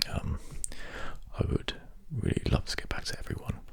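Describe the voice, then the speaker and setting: A man whispering over noticeable background noise. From British. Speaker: ASMR creator. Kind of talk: ASMR casual ramble. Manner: soft-spoken.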